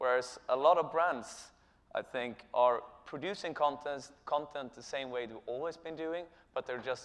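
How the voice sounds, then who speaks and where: A man with a Swedish accent, medium pitch, and ordinary pitch variation. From Sweden. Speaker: company co-founder and chief executive. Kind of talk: conference presentation. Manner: halting, many filler sounds.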